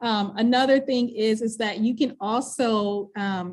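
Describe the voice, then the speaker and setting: Against a quiet background, a woman speaks at a fairly high pitch. Her intonation is monotone and flat. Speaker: volunteer coordinator. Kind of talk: live event presentation with screen demo. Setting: in-person event, also live-streamed. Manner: fast.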